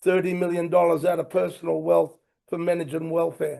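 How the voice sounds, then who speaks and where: A man speaks at a high pitch in a dark, mellow tone. His delivery is passionate. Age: 60s. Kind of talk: panel talk. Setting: conference stage with audience.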